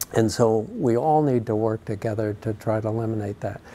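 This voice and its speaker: He has an unremarkable speaking voice at medium pitch for a man. The man talks at a moderate pace. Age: 60s. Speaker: charity cyclist and fundraiser. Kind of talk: interview.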